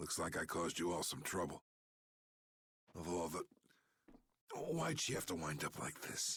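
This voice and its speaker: In a dry, close recording with no echo, a man performs a raspy put-on character voice with a very deep, low pitch, speaking at a moderate pace with very even loudness and long, frequent pauses. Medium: video game. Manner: smooth, glib.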